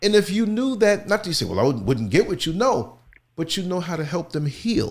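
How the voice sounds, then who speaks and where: A man talks loudly in an animated tone with lively intonation. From New York (Queens). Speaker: talk show host. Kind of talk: casual chat. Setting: studio.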